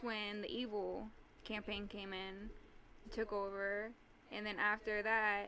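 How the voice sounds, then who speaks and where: A soft-spoken woman speaks fairly slowly in a fairly high voice with monotone, flat intonation. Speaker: tabletop game master, podcast guest. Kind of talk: casual chat. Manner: halting.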